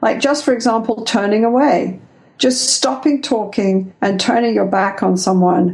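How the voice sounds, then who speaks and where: The speaker is a woman. She has an English accent. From England. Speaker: couples therapist and researcher. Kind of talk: interview.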